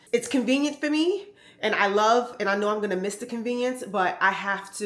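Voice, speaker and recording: In an American accent, a woman with a plain, everyday voice speaks at a fairly quick pace. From New York. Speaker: fashion vlogger. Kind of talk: casual vlog talk to camera.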